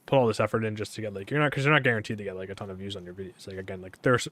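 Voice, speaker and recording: A man talks at a very fast pace with lively intonation. The sound is dry and close, with no echo. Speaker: gaming streamer and substitute teacher. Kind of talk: casual live-stream chat while gaming. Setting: live stream. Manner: rambling, hesitant with many fillers.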